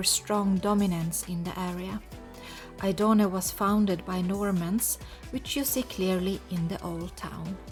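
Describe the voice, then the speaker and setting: Over music in the background, a woman talks at a fairly slow pace in a medium pitch with ordinary pitch variation. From Lapland, Sweden. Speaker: travel vlogger living in Sicily. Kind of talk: casual talk to camera, travel narration.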